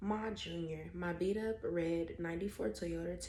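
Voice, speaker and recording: A woman whispering at a moderate pace, with noticeable background noise. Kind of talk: ASMR book reading. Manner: whispered.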